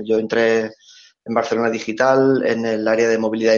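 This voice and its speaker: Monotone, flat intonation from a man, medium in pitch for a man, at a moderate pace. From Catalonia, Spain (Reus). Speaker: big data engineer. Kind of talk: casual interview. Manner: halting, repeats words.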